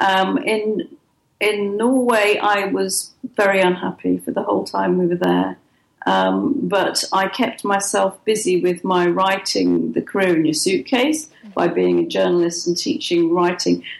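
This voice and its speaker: Speaking fairly slowly, a woman talks with an English accent. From England. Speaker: writer and publisher. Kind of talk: interview.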